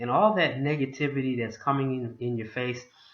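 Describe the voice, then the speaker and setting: With an American accent, this man talks at a moderate pace and medium pitch in a normal speaking voice. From Boston, US. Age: 60s. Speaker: motivational vlogger, home business promoter. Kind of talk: motivational talk to camera.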